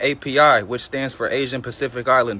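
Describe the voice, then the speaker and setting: A man with a Southern US accent, fairly high-pitched, very fast, in a monotone, flat intonation. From Georgia, US South. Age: 20s. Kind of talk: testimony.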